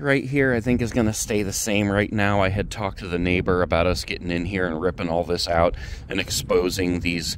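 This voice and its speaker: This man speaks at a fairly quick clip in a fairly low voice, with a dry, echo-free sound and noticeable background noise. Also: ordinary pitch variation. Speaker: homeowner vlogger. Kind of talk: casual vlog chat. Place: garden. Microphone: phone near.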